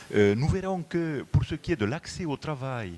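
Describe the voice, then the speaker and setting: This man, with a southwestern French accent, talks at a fairly slow pace, his pitch swinging very widely. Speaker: motorway company executive. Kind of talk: conference presentation. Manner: hesitant, many fillers.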